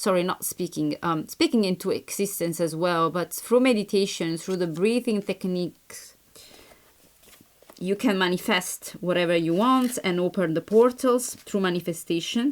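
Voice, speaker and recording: Here a woman speaks at a moderate pace. Her pitch is medium, with ordinary pitch variation. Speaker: tarot reader. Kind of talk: tarot reading. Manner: halting.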